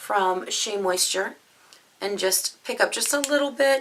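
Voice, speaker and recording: Lively in intonation, a woman speaks at a medium pitch over noticeable background noise. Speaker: beauty vlogger. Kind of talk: tutorial. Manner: casual, chatty.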